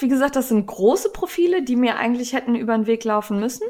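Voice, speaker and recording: Very fast and lively in intonation, a woman speaks with a high pitch. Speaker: podcast host, knitting blogger. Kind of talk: casual chat.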